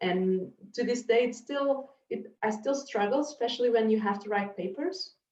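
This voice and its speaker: A woman with a Portuguese accent, her fairly high voice moving at a moderate pace with lively intonation. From Portugal. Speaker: marine scientist. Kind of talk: panel discussion. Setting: video call.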